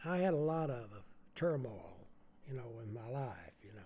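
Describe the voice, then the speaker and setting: A man with an American accent speaks at a fairly slow pace, somewhat breathy, with very wide pitch swings. Room echo is audible. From US South. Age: 80s+. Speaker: songwriter and musician. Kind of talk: interview. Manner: halting.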